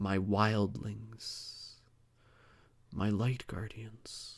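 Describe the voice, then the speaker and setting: On a very clean recording with a silent background, a man puts on a character voice at a fairly low pitch and speaks at a very slow pace. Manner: gentle; loving, grateful.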